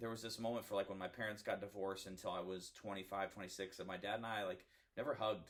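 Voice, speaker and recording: Fairly even intonation from a man pitched fairly low. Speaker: podcast guest. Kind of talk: casual chat. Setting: home podcast recording. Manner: loud.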